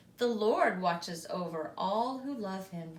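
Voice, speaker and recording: A woman in a put-on character voice speaks at a fairly slow pace with a medium pitch. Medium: read story. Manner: gentle, reassuring.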